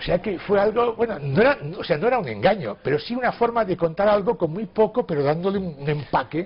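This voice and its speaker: A man with a high-pitched voice talks at a fairly quick pace with hardly any pauses. His intonation is lively, and background noise is noticeable. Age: 60s. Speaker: writer. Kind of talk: interview.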